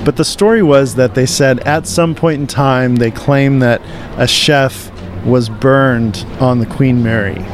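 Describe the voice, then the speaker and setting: Amid noticeable background noise, a man at a medium pitch speaks with very even loudness and ordinary pitch variation. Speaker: radio host. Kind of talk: casual chat. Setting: convention floor.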